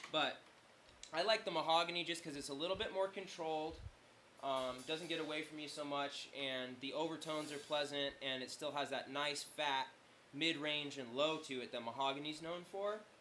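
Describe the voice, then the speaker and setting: A man with a fairly high pitch speaks with ordinary pitch variation. Noticeable background noise runs behind him. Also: moderate pace. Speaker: drummer demoing gear. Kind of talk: casual product demo. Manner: casual, many fillers.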